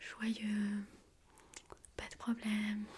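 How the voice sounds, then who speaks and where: A fairly high-pitched, somewhat breathy woman's voice. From Armenia. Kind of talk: ASMR soft-spoken talk to camera. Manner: soft-spoken.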